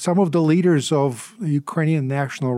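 In a Russian accent, a man speaks at a fairly high pitch with ordinary pitch variation and a dark, mellow tone. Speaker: Russia policy expert. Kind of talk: interview discussion.

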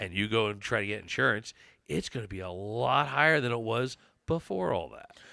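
Speaking at a moderate pace with an American accent, a man has a plain, everyday voice, captured in a very clean recording with a silent background. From Pennsylvania, Chester County. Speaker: constable. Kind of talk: casual interview.

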